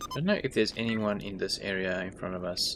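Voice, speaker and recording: A man talks at a fairly quick pace and fairly low pitch in a relaxed tone. Background noise is noticeable. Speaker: gaming YouTuber. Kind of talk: gameplay commentary. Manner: relaxed, thinking aloud.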